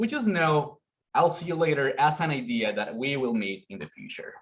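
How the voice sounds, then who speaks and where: A man with a Spanish accent speaks at a fairly high pitch, somewhat breathy, with very wide pitch swings. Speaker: conference presenter. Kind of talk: academic presentation.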